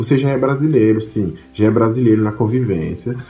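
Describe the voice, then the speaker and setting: With audible room echo, a man speaks at a fairly quick pace, somewhat breathy and dark, mellow in tone. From Haiti. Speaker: vlogger. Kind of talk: casual vlog monologue. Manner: halting, with repetitions and fillers.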